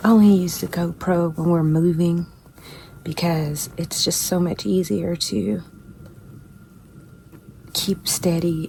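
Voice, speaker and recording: A woman whispering at a very slow pace over noticeable background noise. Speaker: hunter. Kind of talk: casual vlog talk to camera. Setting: outdoors, hunting blind in snow. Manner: whispered.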